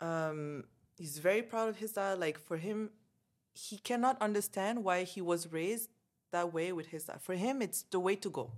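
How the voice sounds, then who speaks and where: A woman's unremarkable speaking voice, medium in pitch with ordinary variation, at a moderate pace in a very clean recording with a silent background. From Canada, Montreal. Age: 30s. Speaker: expat guest. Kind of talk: casual chat.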